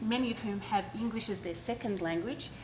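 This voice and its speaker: A woman with an Australian accent at a moderate pace, audible room echo around her. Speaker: education nonprofit leader. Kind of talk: conference panel talk. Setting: stage with audience.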